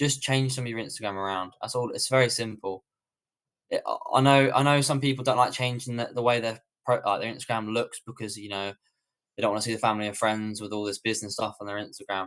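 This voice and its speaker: Speaking at a very fast pace with a British accent, a man keeps a medium pitch and fairly even intonation. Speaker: online business coach. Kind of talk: live webinar Q&A.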